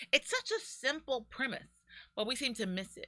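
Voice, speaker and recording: A woman speaks with a bright, sharp tone on a very clean recording with a silent background. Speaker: business consultant and show host. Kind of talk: casual talk-show monologue. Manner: moderate volume, rarely loud.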